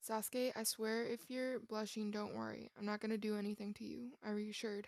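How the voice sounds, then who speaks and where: A woman's fairly high voice, fairly quick pace, fairly even intonation. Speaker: fan fiction reader. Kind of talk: reading aloud. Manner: projects more and sounds cheery when smiling.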